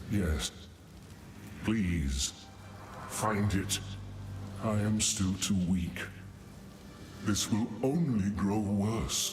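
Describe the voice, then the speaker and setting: In a put-on character voice pitched fairly low, a man speaks very slowly with long, frequent pauses while clear background noise plays. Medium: video game. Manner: grave, solemn.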